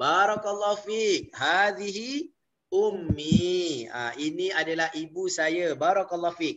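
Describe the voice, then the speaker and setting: Speaking at a very slow pace with lively intonation, this voice has a Malaysian accent. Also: man. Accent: Malaysian Malay. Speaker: Arabic language teacher. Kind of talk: online lecture. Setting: video call. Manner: halting, frequent fillers.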